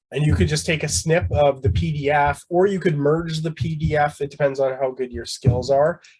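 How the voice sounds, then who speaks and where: Lively intonation marks this man's fairly high voice. He sounds somewhat breathy and leaves hardly any pauses. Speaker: instructor. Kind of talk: tutorial. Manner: fast.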